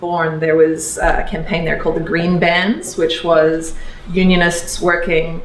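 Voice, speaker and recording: Speaking with an Australian accent, a woman keeps a fairly low pitch and a monotone, flat intonation at a moderate pace. Noticeable background noise and audible room echo come through. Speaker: electoral reform advocate. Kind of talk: talk to a workshop audience. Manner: many fillers and restarts.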